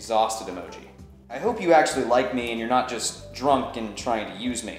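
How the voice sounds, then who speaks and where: A man at a moderate pace with audible room echo and faint music in the background. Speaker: video host. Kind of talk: comedic dramatic reading of anonymous love letters. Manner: theatrical, playful. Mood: mock-dramatic, humorous. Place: home room.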